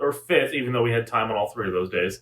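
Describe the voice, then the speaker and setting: A man speaks loudly at a fairly quick pace. His pitch swings very widely. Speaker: podcast co-host. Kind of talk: casual chat.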